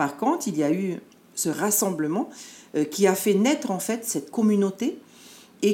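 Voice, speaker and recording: A woman talks at a fairly slow pace in a medium pitch. Her pitch swings very widely. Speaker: dance group leader and education adviser. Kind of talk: interview.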